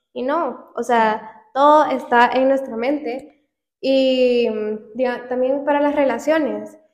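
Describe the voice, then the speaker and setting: Very slowly, a woman speaks in a high pitch with fairly even intonation, with audible room echo around her. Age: 20s. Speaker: podcast co-host. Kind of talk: casual chat.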